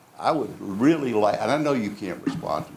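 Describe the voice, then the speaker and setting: This man's fairly high voice carries vocal fry and very wide pitch swings. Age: 80s+. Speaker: public commenter. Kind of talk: public hearing comment.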